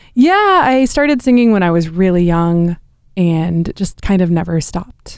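A woman speaks with a West Coast accent. Her intonation is lively. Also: medium pitch for a woman, moderate pace. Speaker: opera singer. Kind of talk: interview.

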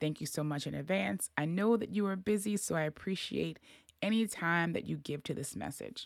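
In a very clean recording with a silent background, a woman with vocal fry speaks at a moderate pace in an animated tone, with lively intonation and a very deep, low pitch for a woman. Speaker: podcast host. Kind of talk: solo monologue, casual advice talk. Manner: animated, casual, chatty.

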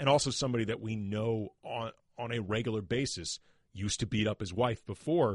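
With an unremarkable speaking voice, a man talks at a fairly quick pace and fairly low pitch, captured in a dry, close sound with no echo. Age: 40s. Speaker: sports podcast host. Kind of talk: casual chat.

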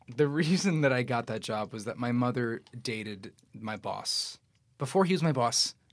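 Using a normal speaking voice, a man with an American accent talks at a medium pitch and moderate pace with lively intonation, recorded very cleanly against a silent background. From New York City, Astoria, Queens. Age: 20s. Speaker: actor. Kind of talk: casual chat.

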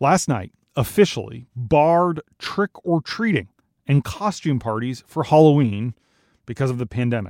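With an American accent, a man talks in an ordinary speaking voice at a fairly high pitch with lively intonation, on a very clean recording with a silent background and a dry, close sound with no echo. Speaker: news podcast host. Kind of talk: formal news reading, scripted daily news briefing. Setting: studio. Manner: formal, measured, steady newsreader delivery.

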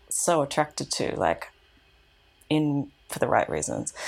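A woman speaks with an Australian accent at a fairly slow pace. Her pitch is very deep and low. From Australia, Canberra. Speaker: activist. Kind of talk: casual interview conversation. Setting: apartment.

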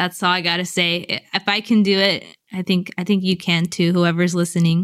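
A woman at a moderate pace and medium pitch, flat and monotone, her loudness very even, on a very clean recording with a silent background. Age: 20s. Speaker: singer-songwriter and cancer patient. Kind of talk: interview.

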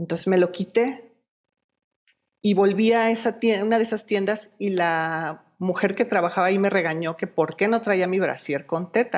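With an ordinary speaking voice, this woman talks at a moderate pace, her pitch sitting in the middle range and varying in an ordinary way. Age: 40s. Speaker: breast cancer survivor and activist. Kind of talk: interview.

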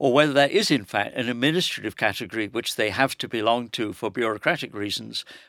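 The speaker is a man with an English accent and ordinary pitch variation. The recording is very clean, with a silent background. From England. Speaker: professor. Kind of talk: panel discussion.

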